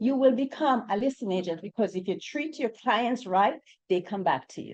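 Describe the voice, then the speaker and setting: A woman speaks at a moderate pace with a Jamaican accent. Her intonation is lively. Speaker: real estate agent. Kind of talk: panel discussion.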